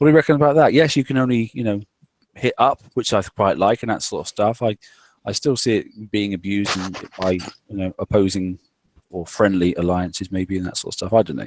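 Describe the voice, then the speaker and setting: A man speaks at a fairly quick pace with a fairly low pitch. His pitch varies in an ordinary way. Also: dry, close sound with no echo, very clean recording, silent background. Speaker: livestream show host. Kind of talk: casual chat. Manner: fast.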